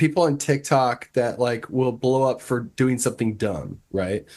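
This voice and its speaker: An unremarkable speaking voice with an American accent, at a fairly slow pace, with ordinary pitch variation over a quiet background. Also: man. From Nebraska, US Midwest. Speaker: record label owner. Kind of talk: casual chat.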